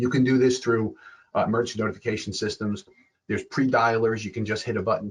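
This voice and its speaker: A man talks at a fairly quick pace, his voice somewhat breathy. His pitch sits in the medium range. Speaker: security expert. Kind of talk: lecture. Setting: webinar. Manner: fast.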